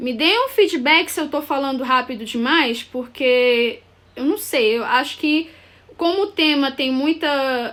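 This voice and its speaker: Heard in a very clean recording with a silent background, a woman speaks at a high pitch with ordinary pitch variation. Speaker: architect / urban planner. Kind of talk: live stream presentation. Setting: live video stream. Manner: halting, with many fillers.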